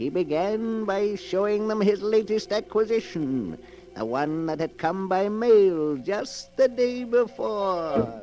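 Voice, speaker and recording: A man speaks in a high, theatrical voice at a fairly slow pace with lively intonation, and background noise is clearly heard. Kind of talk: 1940s radio horror narration. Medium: old radio play. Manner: theatrical, melodramatic.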